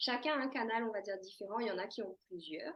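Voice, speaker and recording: A woman with a fairly high pitch. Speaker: medium and akashic records reader. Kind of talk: casual monologue to camera. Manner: hesitant, many fillers.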